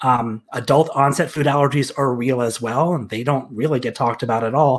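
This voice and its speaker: With ordinary pitch variation, the man speaks at a moderate speed. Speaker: guest. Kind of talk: interview answer.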